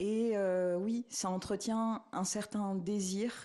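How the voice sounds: The tone is dark and mellow. The intonation stays fairly even. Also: woman.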